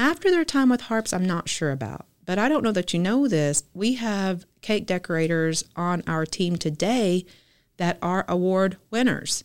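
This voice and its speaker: The recording is very clean, with a silent background. A woman with a Southern US accent speaks at a medium pitch with lively intonation. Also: fairly slow pace. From Arkansas (Fort Smith). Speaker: grocery chain bakery-deli executive. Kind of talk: casual interview.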